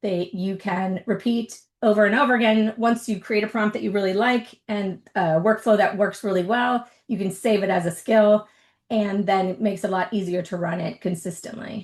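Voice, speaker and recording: A woman with a normal speaking voice talks at a medium pitch. Her pace is moderate and her intonation fairly even. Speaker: tech presenter, workshop host. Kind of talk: webinar presentation, tutorial.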